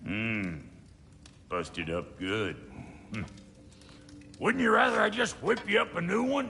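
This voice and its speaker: Gruff, put-on character voice from a man at a moderate pace, with long, frequent pauses and clear background noise. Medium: video game. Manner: gruff, blunt, profane.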